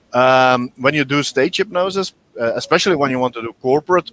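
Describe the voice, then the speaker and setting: The man's voice sits at medium pitch with ordinary pitch variation, moving at a moderate pace in a dry, close sound with no echo. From Belgium (Dutch-speaking). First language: Dutch. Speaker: hypnotherapist. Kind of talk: interview. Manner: halting, many repetitions and fillers.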